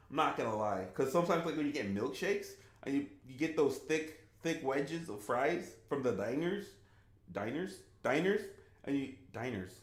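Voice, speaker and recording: A man's fairly high voice with vocal fry and very wide pitch swings, at a moderate pace with long, frequent pauses, amid audible room echo. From US, Haitian refugee family. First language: Haitian Creole. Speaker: gaming streamer. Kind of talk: live stream Q&A, casual chat.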